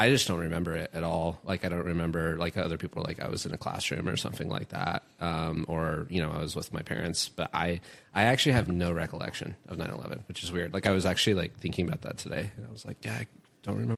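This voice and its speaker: This man has a very deep, low pitch with vocal fry and an American accent. He speaks at a very fast pace. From Northern California. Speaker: podcast guest. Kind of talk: casual chat. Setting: live show with audience.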